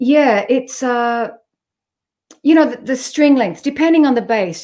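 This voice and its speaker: At a medium tempo, a woman talks in an Australian accent. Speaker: jazz bassist. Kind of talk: interview conversation.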